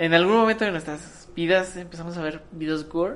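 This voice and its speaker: Audible room echo hangs around a woman's voice as she speaks. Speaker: podcast co-host. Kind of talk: casual chat.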